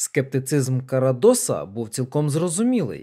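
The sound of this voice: An unforced reading voice fills the recording.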